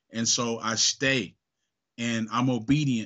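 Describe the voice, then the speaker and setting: Using an ordinary speaking voice, a man talks at a medium pitch with ordinary pitch variation. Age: 40s. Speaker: home improvement business owner. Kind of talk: interview.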